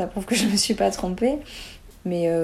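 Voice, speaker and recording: Her voice is an unremarkable speaking voice, fairly low in pitch for a woman. She keeps a moderate pace. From southern France, near Montpellier. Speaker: former performing artist, nutrition student. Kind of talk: casual interview.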